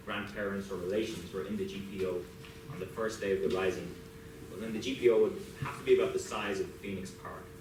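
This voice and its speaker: A man with an Irish accent talks at a very fast pace, his loudness swinging widely while his pitch moves in an ordinary way. Noticeable background noise and audible room echo fill the recording. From Ireland. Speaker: professor. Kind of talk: lecture. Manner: some hesitations and repeated words.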